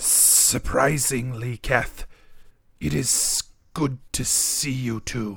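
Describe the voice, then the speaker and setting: This is a put-on character voice with a raspy sound. It moves at a very slow pace. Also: man, medium pitch for a man. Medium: actual play. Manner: formal, measured, no contractions.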